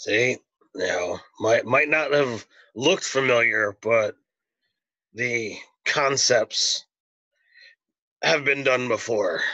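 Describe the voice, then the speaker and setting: Putting on a raspy character voice at medium pitch, a man speaks at a very slow pace with long, frequent pauses. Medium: actual play.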